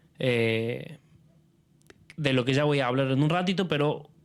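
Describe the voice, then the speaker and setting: Ordinary pitch variation in a Rioplatense accent, on a very clean recording with a silent background. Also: man. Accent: Argentine Rioplatense Spanish. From Argentina. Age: 30s. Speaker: film curator and critic. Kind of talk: public talk presenting a film series. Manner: halting, many fillers and repetitions.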